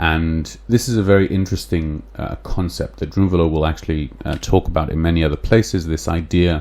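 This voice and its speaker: Speaking in an English accent, a man with a very deep, low pitch keeps a moderate pace and lively intonation. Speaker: podcast host. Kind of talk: solo podcast talk, explaining a book. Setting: live stream with chat. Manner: hesitant, many fillers.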